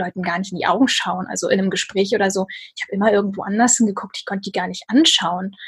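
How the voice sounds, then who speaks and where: Her voice somewhat breathy, a woman talks at a fairly quick pace. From northern Germany, Lübeck. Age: 30s. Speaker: author and blogger. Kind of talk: casual interview conversation.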